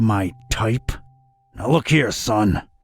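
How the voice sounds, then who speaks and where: Over music in the background, a man uses a raspy, put-on character voice at medium pitch with ordinary pitch variation. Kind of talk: noir detective voice-over. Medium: video game. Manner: dry, sardonic.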